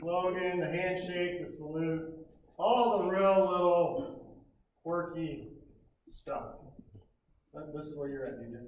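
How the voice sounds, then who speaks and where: Speaking very slowly with an American accent, a man with a high pitch leaves long, frequent pauses, his loudness swinging widely amid audible room echo. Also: ordinary pitch variation. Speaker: scoutmaster. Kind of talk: ceremony speech. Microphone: speaking without microphone.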